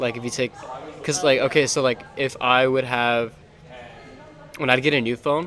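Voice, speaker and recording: With an American accent, a man speaks at a medium pitch and moderate pace, using fairly even intonation and long, frequent pauses over noticeable background noise. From Texas, San Antonio. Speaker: podcast co-host, college student. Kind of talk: casual chat.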